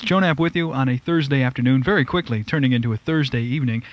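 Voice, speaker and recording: A man speaks in a plain, everyday voice with an American accent. His pace is fairly quick, with ordinary pitch variation. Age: 20s. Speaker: radio DJ. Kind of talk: radio show break. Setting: radio studio.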